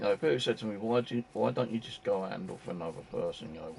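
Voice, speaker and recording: A man talks at a very fast pace, his fairly low voice full of lively intonation. Noticeable background noise runs underneath. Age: 60s. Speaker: gaming streamer. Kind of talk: casual live-stream chat. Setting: home, live stream. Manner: halting, filler-heavy.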